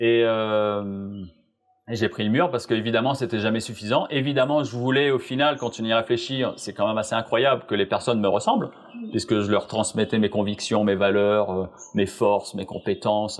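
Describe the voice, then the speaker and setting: Speaking in an ordinary speaking voice, a man keeps a medium pitch, ordinary pitch variation and a moderate pace. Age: 40s. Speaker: performance coach. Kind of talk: interview.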